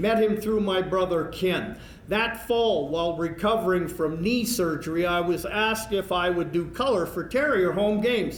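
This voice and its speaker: A man with a Canadian Prairies accent talks at a moderate pace in a high pitch, with ordinary pitch variation and very even loudness, amid audible room echo and noticeable background noise. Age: 60s. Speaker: hockey play-by-play broadcaster, hall of fame inductee. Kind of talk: acceptance speech.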